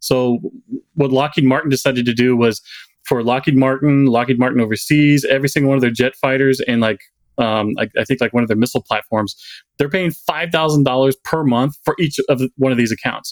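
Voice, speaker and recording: A plain, everyday voice from a man, medium in pitch, at a fairly quick pace with fairly even intonation, very even loudness and a dry, close sound with no echo. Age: 40s. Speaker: truck driver and social media content creator. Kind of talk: casual interview.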